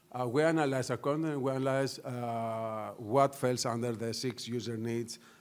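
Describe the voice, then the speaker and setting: A man's medium-pitched voice, with fairly even intonation, carries audible echo from the room. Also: moderate pace. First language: Greek. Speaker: news media executive. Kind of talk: conference panel talk. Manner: hesitant, many fillers.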